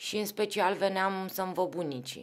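A woman speaks at a medium pitch. Her pace is fairly slow. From Romania, Craiova then Bucharest; Romania. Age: 40s. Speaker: football club executive; podcast guest. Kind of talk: casual chat. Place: studio. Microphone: studio mic.

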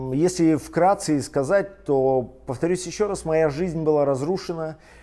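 Over a quiet background, the voice has a dark, mellow tone with ordinary pitch variation. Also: man. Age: 40s. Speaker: pastor; pastor, interview guest. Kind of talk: interview testimony. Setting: studio. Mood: calm, reflective. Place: studio.

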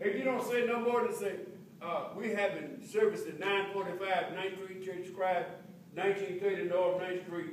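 Light background noise and audible room echo accompany a man with a high pitch speaking at a fairly slow pace. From Texas. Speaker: preacher. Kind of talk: sermon. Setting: church. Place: church. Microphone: camera far.

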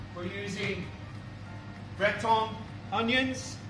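A man talking at a fairly slow pace, with music in the background. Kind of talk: cooking show presentation. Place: kitchen. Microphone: phone near.

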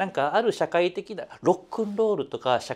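A man talks at a fairly quick pace. His intonation is lively. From Osaka, Kansai; Japan. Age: 50s. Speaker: music critic; interviewee. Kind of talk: interview. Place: studio. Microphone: lapel.

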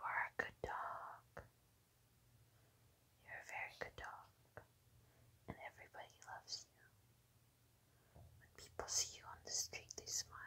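A woman whispers at a fairly slow pace. She leaves long, frequent pauses. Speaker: ASMR creator. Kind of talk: soothing affirmations to a pet. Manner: soft-spoken. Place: home room.

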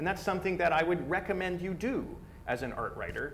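Talking at a very fast pace, a man is heard over light background noise. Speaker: speaker. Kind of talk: lecture. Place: classroom.

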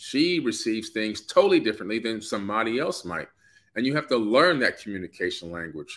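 A man's bright, sharp-toned voice against a quiet background. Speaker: co-host of live stream. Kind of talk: casual live chat. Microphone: phone near.

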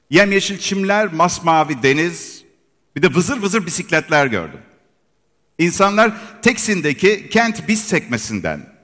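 A man speaks fairly slowly. Behind him, the background stays quiet. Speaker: presenter. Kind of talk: product launch presentation. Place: hall.

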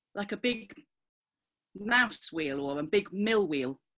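A woman with a bright, sharp tone speaks fairly slowly, her pitch swinging very widely over a quiet background. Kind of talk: participant sharing in group discussion. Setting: video call. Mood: playful, slightly uneasy. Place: home room. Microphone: video call.

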